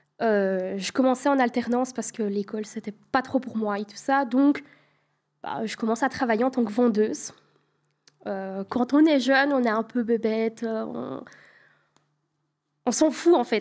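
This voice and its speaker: A woman speaks at a fairly slow pace with a Belgian accent, her pitch fairly high. Her loudness swings widely, and she takes long, frequent pauses. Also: ordinary pitch variation. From Belgium. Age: 20s. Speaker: home help worker telling a story on a call-in show. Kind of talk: storytelling. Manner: hesitant, many fillers.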